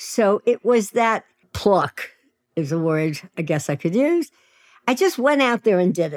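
Slowish and with a Brooklyn accent, a woman speaks with very wide pitch swings. The sound is dry and close with no echo, very clean over a silent background. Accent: New York (Brooklyn). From US Northeast, Williamsburg, Brooklyn, New York. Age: 80s+. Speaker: sex and dating coach. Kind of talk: casual chat.

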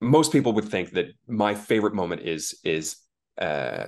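Against a quiet background, a man speaks fairly slowly at a fairly low pitch with very wide pitch swings. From international upbringing, third culture kid. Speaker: voice actor. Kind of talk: casual interview. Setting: video call. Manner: halting, many repetitions.

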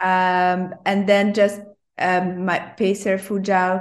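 A woman's medium-pitched, monotone, flat voice at a very slow pace over a quiet background. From Hungary, Budapest. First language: Hungarian. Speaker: ultrarunner. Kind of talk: interview.

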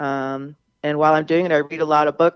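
A woman with an American accent, very deep and low in pitch, at a moderate pace, in a dry, close sound with no echo. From US South, Charleston, South Carolina. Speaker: novelist. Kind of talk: radio interview.

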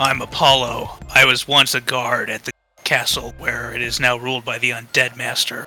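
A man puts on a character voice at a medium pitch, delivered in a flat monotone. He keeps a moderate pace while faint music plays in the background. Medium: actual play. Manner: wary, solemn.

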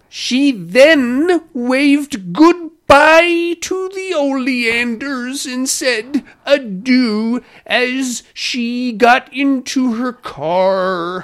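A put-on character voice, female-sounding and high-pitched for a woman, speaks at a very slow pace. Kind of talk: affected, precise. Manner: over-enunciating every word.

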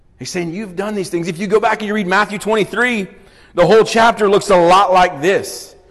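Noticeable background noise sits behind a man with a high pitch. He speaks at a moderate pace, with fairly even intonation and big swings in loudness. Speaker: guest speaker leading a Bible study. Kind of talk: Bible teaching, interactive sermon. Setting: church room with audience, microphone.

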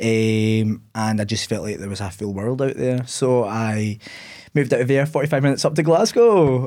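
In a Scottish accent, a dark, mellow voice shows ordinary pitch variation on a very clean recording with a silent background. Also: man, medium pitch for a man, moderate pace. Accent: Scottish (Ayrshire). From Scotland, Ayr. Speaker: content creator. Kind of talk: casual interview.

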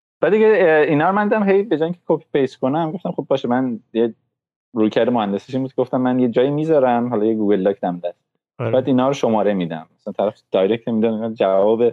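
Intonation rises and falls in a lively way. The man speaking moves at a very fast pace. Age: 30s. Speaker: tech engineer and podcaster. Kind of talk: casual chat.

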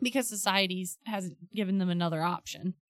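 An ordinary speaking voice: a woman with an American accent talks at a fairly quick pace at medium pitch with ordinary pitch variation, the sound dry and close with no echo. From Ohio. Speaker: podcast panelist and intro voice. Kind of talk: casual chat.

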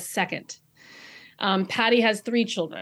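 A woman speaks in a normal speaking voice. Her pace is fairly quick and her pitch is medium. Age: 40s. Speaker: novelist. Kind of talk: interview. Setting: video call.

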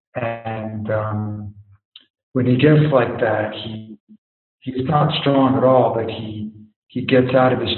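There is audible room echo around a man's voice. He speaks at a fairly slow pace. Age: 50s. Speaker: guest sharing life experience. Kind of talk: casual interview conversation.

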